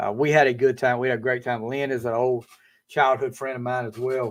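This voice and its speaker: A man with a Southern US accent. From eastern North Carolina, US South. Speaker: podcast host. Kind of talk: casual chat. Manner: halting, many fillers.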